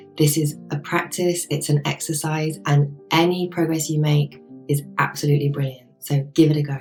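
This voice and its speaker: Music plays in the background as a woman with a very deep, low voice speaks at a moderate pace in a monotone, flat intonation with hardly any pauses. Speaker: life coach and yoga teacher. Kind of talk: coaching talk to camera.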